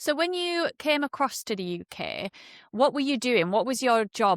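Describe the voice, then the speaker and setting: With a Yorkshire accent, a woman speaks at a moderate pace, her pitch swinging very widely. The sound is dry and close with no echo, a very clean recording with a silent background. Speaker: podcast host. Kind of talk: podcast interview.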